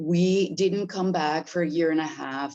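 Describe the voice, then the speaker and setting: Ordinary pitch variation shapes a woman's fairly low voice. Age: 70s. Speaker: property owner asking about residency. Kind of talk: casual Q&A. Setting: video call.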